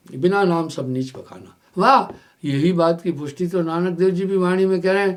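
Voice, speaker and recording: A man's voice carries audible room echo. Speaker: spiritual teacher. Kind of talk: sermon. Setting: live satsang broadcast.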